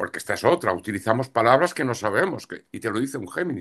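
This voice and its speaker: Against a quiet background, a man talks very fast with very wide pitch swings. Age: 60s. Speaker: astrologer and tarot reader. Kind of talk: interview.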